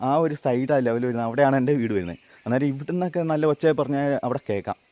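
Dry and close with no echo, a man's fairly high voice carries a dark, mellow tone and ordinary pitch variation. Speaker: travel vlogger. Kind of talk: vlog narration and interview.

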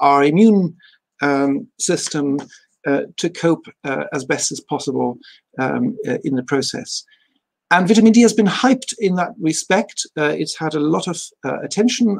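With a quiet background, a man speaks at a moderate pace. His pitch is high. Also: lively intonation. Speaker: university lecturer presenting. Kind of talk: lecture. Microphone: video call.

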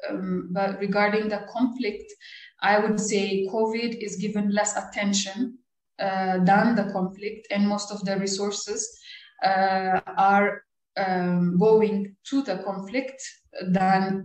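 A somewhat breathy, very slow voice in a monotone, flat delivery, with audible room echo over a quiet background. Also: woman. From Ethiopia, Addis Ababa; Ethiopia. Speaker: cartoonist; interviewee. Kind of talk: interview. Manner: halting, many fillers. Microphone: video call.

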